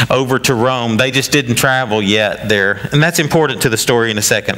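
Over clear background noise, a man talks at a medium pitch.

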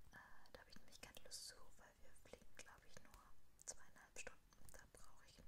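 The clip has a woman whispering. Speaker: ASMR creator. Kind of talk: ASMR whispered product haul. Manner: whispered, close-up. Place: home room. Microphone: studio mic.

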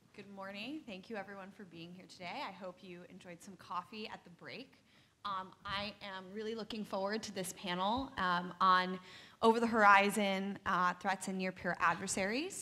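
A woman speaks with a bright, sharp tone at a moderate pace and with fairly even intonation. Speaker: panel moderator. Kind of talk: panel introduction. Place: hall. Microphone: podium.

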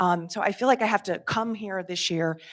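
A woman's medium-pitched voice with vocal fry, fairly even intonation and a moderate pace, on a very clean recording with a silent background. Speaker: resident speaking at public comment. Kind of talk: public comment at a meeting. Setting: public meeting hall. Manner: halting, many fillers.

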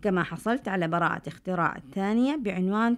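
A woman with an unremarkable speaking voice, medium pitch and lively intonation at a moderate pace, in a very clean recording with a silent background. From Saudi Arabia, Medina (Hejaz). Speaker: scientist, university professor. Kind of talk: scripted narration. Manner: formal.

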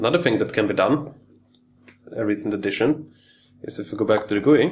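Over light background noise, a man with a non-native accent talks at a very fast pace, somewhat breathy, with ordinary pitch variation. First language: not English. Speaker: electronics hobbyist engineer. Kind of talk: technical tutorial demo. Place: workshop.

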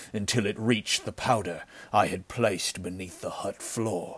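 A put-on character voice, resonant and menacing, with a stern tone. It moves at a fairly slow pace with fairly even intonation. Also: man. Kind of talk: pulp adventure audiobook acting. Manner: cold, grim, stern.

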